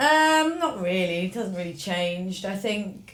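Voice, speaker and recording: In a strong Norfolk accent, a woman talks at a moderate pace. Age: 20s. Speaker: fashion blogger. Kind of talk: casual chat.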